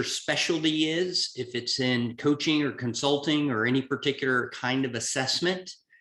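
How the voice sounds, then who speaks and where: A man speaks at a moderate pace with a Southern US accent, his pitch fairly high and its variation ordinary. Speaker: executive coach. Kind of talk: webinar presentation.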